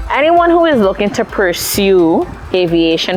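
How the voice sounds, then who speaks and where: A woman's fairly slow speech with ordinary pitch variation, against noticeable background noise. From Cayman Islands, Prospect, George Town. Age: 20s. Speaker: airline pilot. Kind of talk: interview monologue.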